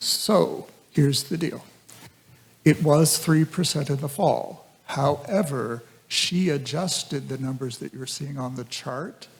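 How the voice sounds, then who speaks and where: A man with a fairly high, somewhat breathy voice speaks at a fairly slow pace with ordinary pitch variation and big swings in loudness. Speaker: school district administrator. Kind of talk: public meeting report. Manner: soft-spoken; halting.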